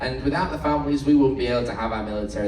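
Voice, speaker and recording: Speaking with a Manchester accent, a man is heard in a room with audible echo and noticeable background noise. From northern England, Manchester. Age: 30s. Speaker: cruise ship entertainment host. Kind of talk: live event hosting. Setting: stage with audience. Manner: animated.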